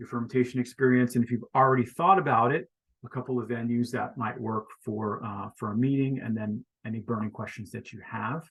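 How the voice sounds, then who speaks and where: Using an ordinary speaking voice with an American accent, a man talks fairly quickly at a medium pitch. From Florida. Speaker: online community coach. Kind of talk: video meeting facilitation.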